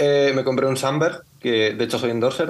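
Noticeable background noise runs under a man's voice. He speaks at a moderate pace with ordinary pitch variation. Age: young. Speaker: bass player in a folk band. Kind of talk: casual interview.

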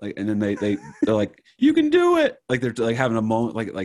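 This man has a New Jersey accent and a medium pitch. He talks at a fairly quick pace with fairly even intonation. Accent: New Jersey American. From New Jersey, US. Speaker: comedian and podcaster. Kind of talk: casual chat. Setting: video call.

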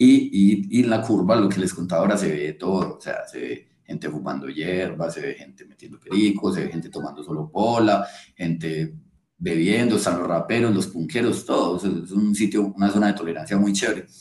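A man with a fairly low pitch talks at a moderate pace, with ordinary pitch variation. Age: 20s. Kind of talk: casual chat.

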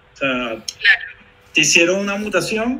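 A man's voice amid noticeable background noise. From Venezuela. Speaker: software developer co-host. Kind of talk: technical discussion. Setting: live stream video call.

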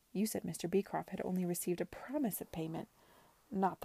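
A natural reading voice carries ordinary pitch variation.

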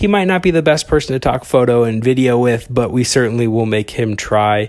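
Talking at a moderate pace, a man with an Upper Midwest accent uses a medium pitch. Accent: Upper Midwest American. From Wisconsin. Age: 20s. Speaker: podcast host, archer and videographer. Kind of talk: casual solo podcast monologue.

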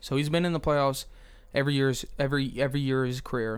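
A man talks at a fairly quick pace in an ordinary speaking voice. His pitch sits fairly high. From New Jersey. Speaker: sports podcast guest, basketball fan. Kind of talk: casual sports talk.

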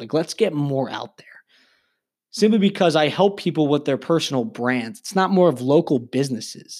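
Speaking fairly quickly with lively intonation, a man has an ordinary speaking voice on a very clean recording with a silent background. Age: 20s. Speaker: podcast host and young entrepreneur. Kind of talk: solo podcast monologue. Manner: casual, filler-heavy with frequent ums.

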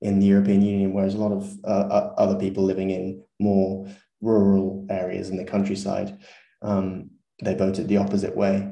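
A man with a southern English accent talks at a fairly quick pace in a monotone, flat intonation, his fairly low pitch carrying a dark, mellow tone. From southern England. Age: 20s. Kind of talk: casual interview. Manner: fluent, hesitant with repeats.

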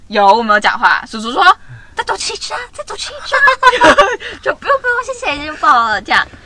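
A woman uses a raised, projected voice at an extremely high pitch, swinging very widely. Noticeable background noise runs underneath. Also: moderate pace, big swings in loudness. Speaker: podcast co-host. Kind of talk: casual chat. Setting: in a car.

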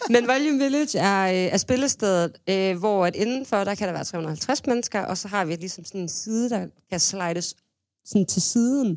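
A woman with a normal speaking voice talks at a moderate pace in a medium pitch, her intonation lively, on a very clean recording with a silent background. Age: 20s. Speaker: music booker, manager and DJ. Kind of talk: casual chat. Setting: studio.

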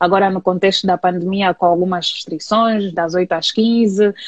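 A woman with an Angolan accent talks at a moderate pace and medium pitch, her tone calm and her intonation flat and monotone. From Angola, Luanda. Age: 30s. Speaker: communication specialist and community manager. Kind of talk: interview. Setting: online live stream.

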